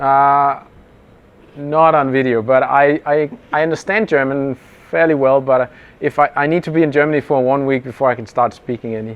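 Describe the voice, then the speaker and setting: In a Danish accent, a man talks at a moderate pace with a fairly high pitch. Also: ordinary pitch variation. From Denmark. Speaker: interviewer, startup engineer. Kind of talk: casual interview. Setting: conference workshop.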